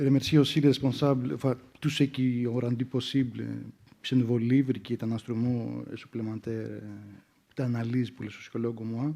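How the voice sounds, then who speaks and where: A medium-pitched man's voice with a non-native accent, a dark, mellow tone and fairly even intonation. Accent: foreign accent in French. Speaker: sociologist. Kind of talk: academic round-table talk. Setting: conference with audience. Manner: hesitant, many fillers.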